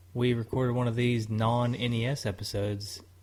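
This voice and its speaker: A man with a Tennessee accent speaks at a medium pitch in a somewhat breathy voice. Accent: Southern US, Tennessee. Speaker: podcast co-host. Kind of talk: casual chat.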